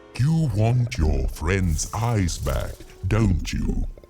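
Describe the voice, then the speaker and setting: A man uses a put-on character voice with a fairly low pitch and very wide pitch swings. He speaks at a very slow pace with clear music in the background. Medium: video game. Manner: pompous, easily flustered.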